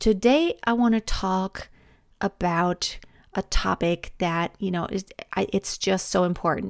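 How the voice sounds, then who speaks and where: In a German accent, a woman speaks at a fairly slow pace and medium pitch with ordinary pitch variation, on a very clean recording with a silent background. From Germany. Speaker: vocal coach and podcast host. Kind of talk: solo podcast monologue. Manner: stumbling over words.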